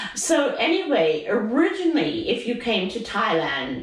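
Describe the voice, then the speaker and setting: Over noticeable background noise, a woman with a fairly high pitch talks at a fairly slow pace, her pitch swinging very widely. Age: 80s+. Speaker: retiree. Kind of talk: interview answer.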